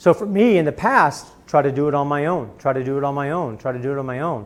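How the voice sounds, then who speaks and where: A man with an American accent speaks at a fairly quick pace with ordinary pitch variation. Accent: Missouri accent, comes out sometimes. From Missouri. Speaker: business executive and speaker. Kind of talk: Q&A answer at a talk.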